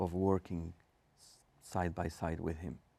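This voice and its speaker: A man with a very deep, low voice at a fairly slow pace, on a very clean recording with a silent background. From Argentina. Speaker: rabbi. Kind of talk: thoughtful interview conversation. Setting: studio. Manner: hesitant, many fillers; measured, softer style.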